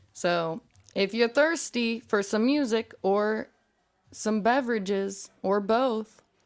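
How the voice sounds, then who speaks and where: A woman's fairly high voice with an American accent, very slow and very even in loudness, on a very clean recording with a silent background. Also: ordinary pitch variation. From California. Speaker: podcast host. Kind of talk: casual chat.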